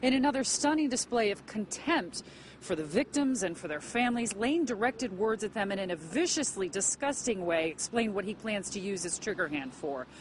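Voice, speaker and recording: Fairly quick speech from a woman at medium pitch, with very wide pitch swings, hardly any pauses and noticeable background noise. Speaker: news reporter. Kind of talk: TV news report.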